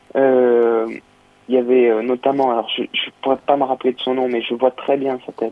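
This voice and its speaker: His pitch is medium and his intonation monotone and flat. He talks at a moderate pace with long, frequent pauses. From southern France, Nice. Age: 20s. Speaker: saxophonist. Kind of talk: interview. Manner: hesitant.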